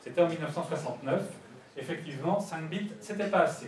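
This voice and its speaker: Noticeable background noise and audible room echo accompany the recording. A man speaks at a fairly quick pace. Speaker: conference speaker on network security. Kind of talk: lecture.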